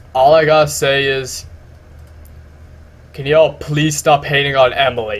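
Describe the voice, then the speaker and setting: This man's voice sits fairly high and sounds somewhat breathy. He talks at a moderate pace with fairly even intonation, leaving long, frequent pauses. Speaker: music YouTuber. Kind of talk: casual video commentary. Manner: halting, repeats words.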